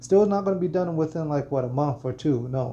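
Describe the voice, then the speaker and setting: His voice is somewhat breathy. The man's tone comes across dark and mellow. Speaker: gaming content creator. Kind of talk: gaming tutorial. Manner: monotone; halting, many fillers and repeats.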